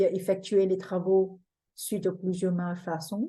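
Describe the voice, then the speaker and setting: The speaker has a non-native accent and a dark, mellow tone that is somewhat breathy. The pace is fairly slow. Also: woman. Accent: foreign accent in French. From Singapore. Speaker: feng shui teacher. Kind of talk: webinar presentation. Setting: online webinar.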